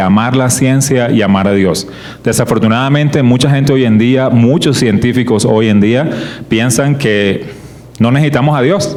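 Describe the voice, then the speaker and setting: A man at medium pitch with ordinary pitch variation and a fairly slow pace, amid noticeable background noise and audible room echo. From Colombian Caribbean coast (Barranquilla). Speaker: creationist ministry speaker. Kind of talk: church teaching talk.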